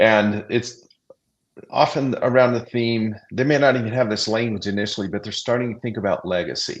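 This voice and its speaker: A man speaks in a normal speaking voice at a medium pitch. His intonation is fairly even, and his pace is moderate. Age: 60s. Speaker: executive leadership coach. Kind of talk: live panel discussion.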